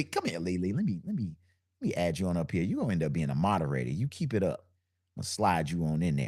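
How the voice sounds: Very deep and low in pitch, a man talks at a very fast pace in a dark, mellow tone, with lively intonation and very even loudness.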